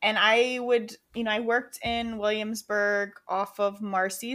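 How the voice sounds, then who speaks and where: In an American accent, a woman speaks at a fairly slow pace with a fairly high pitch and a plain, everyday voice. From Rochester, New York, US. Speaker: podcast co-host. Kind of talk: casual chat.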